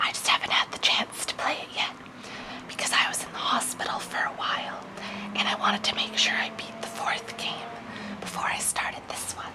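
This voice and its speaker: Someone whispers at a fairly quick pace. Background noise is noticeable. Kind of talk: ASMR unboxing. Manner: whispered.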